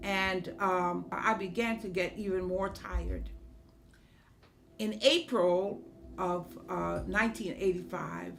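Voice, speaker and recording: Audible room echo surrounds a woman speaking at a very slow pace. She leaves long, frequent pauses. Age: 70s. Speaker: state senator and former school principal. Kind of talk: testimony. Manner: hesitant with frequent fillers.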